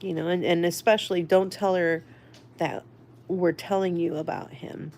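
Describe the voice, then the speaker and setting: The speaker is a woman. Her voice sits fairly low in pitch. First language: Spanish. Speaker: livestreamer sharing life story. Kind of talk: casual livestream storytelling. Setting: live stream with chat. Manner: halting, many fillers.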